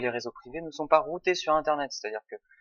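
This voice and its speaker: A man's voice with ordinary pitch variation. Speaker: tutorial presenter. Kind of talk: tutorial. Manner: casual, hesitant with fillers.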